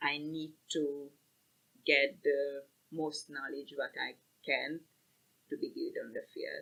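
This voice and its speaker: A woman speaks with a Hungarian accent at a very slow pace. She leaves long, frequent pauses. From Hungary. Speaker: paramedic. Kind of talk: interview. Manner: halting.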